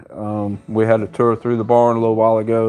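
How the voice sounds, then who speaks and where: Against a quiet background, a man with a Southern US accent speaks at a moderate pace and fairly low pitch, his intonation monotone and flat. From US South. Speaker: horse trainer. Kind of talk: live stream Q&A.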